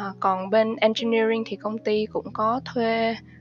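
A woman speaks at a fairly slow pace and a fairly high pitch. Music plays behind her. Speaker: financial analyst. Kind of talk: interview.

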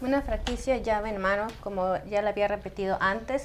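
A woman at medium pitch with ordinary pitch variation and a moderate pace, a plain, everyday voice. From Indianapolis, US. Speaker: franchise industry expert. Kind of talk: interview. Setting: live stream.

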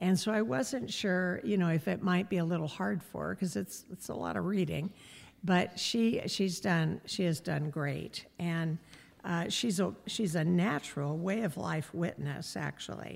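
On a very clean recording with a silent background, a woman with a fairly low pitch and vocal fry speaks at a fairly slow pace with lively intonation. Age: 70s. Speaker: missionary. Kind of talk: church update talk. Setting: church.

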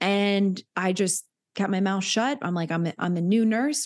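A woman's normal speaking voice with an American accent, medium in pitch, with ordinary pitch variation and a moderate pace against a quiet background. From US South, Hilton Head, South Carolina. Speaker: nurse and wellness coach. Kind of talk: casual interview chat.

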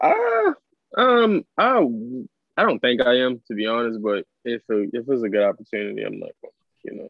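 At a moderate pace and with an American accent, a man talks with long, frequent pauses and big swings in loudness. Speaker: podcast co-host, college graduate. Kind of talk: casual banter podcast chat.

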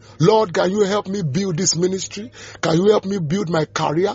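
A man with a high pitch speaks as noticeable background noise carries on around him. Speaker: preacher. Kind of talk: sermon and devotional with prayers and scripture teaching. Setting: audio devotional recording. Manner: fervent, exhortative preaching with declarations and blessings; halting, repeating words while searching for phrasing.

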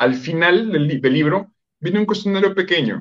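A man with a normal speaking voice talks at a fairly quick pace, his fairly high pitch carrying lively intonation. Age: 40s. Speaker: psychologist and coach. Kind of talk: interview on relationships.

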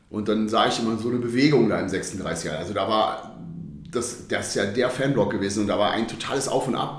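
Words come at a very fast pace with ordinary pitch variation, amid noticeable background noise and audible room echo. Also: man. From Düsseldorf, Germany. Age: 40s. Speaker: football fan, former hooligan. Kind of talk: casual interview.

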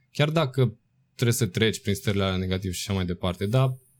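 A somewhat breathy man with lively intonation on a very clean recording with a silent background. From Romania, provincial town. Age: 20s. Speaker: dancer and choreographer. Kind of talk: casual interview.

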